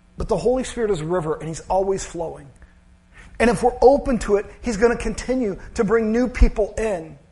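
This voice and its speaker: A man talks at a fairly quick pace in a high pitch over noticeable background noise. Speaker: pastor. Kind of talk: sermon. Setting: church. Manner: monotone at times.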